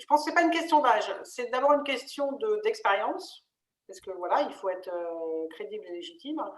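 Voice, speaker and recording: Moderate pace throughout. Pitch rises and falls very widely. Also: woman. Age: 50s. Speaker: interim manager, webinar co-host. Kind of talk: webinar panel discussion. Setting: online webinar.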